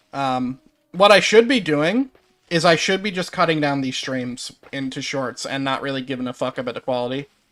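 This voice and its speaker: A man with a Newfoundland accent speaks at a moderate pace and fairly high pitch, with ordinary pitch variation and big swings in loudness. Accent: Newfoundland accent, noticeable. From Newfoundland, Canada. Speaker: gaming streamer. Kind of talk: casual chat. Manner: halting.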